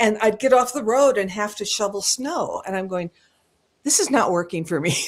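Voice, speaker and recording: A woman with an American accent uses an ordinary speaking voice, fairly high in pitch, at a moderate pace with lively intonation. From US Pacific Northwest (rural Washington). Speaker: singer. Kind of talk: casual chat.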